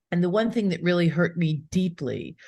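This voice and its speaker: This is an ordinary speaking voice, keeping a moderate pace and showing ordinary pitch variation. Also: woman. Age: 60s. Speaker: attorney and pet planning speaker. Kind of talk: podcast interview. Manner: conversational with fillers.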